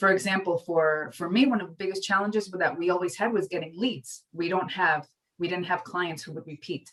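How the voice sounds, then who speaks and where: A woman with a strong New York accent speaks at a fairly quick pace with a medium pitch and ordinary pitch variation. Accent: thick New York. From New York City. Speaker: marketing professor. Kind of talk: lecture.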